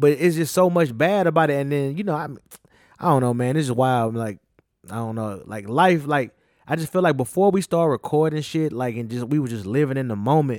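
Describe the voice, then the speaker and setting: A man with a Southern US accent talks in a fairly high pitch. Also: lively intonation. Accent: Southern US drawl. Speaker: podcast co-host. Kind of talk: casual chat.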